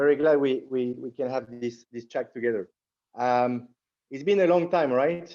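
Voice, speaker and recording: A Latin American accent over a quiet background. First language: French. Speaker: entrepreneur. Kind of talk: interview. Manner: halting, many repetitions.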